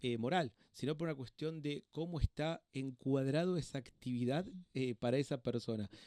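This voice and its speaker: In a dry, close sound with no echo, a man talks in a dark, mellow tone with lively intonation. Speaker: doctor and hospital clown. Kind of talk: interview conversation. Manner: fast; halting.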